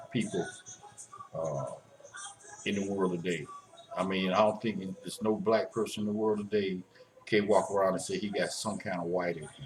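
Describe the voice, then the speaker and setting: With noticeable background noise behind him, a man speaks at a moderate pace, fairly low-pitched, with lively intonation. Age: 60s. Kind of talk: casual talk to camera. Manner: hesitant, halting.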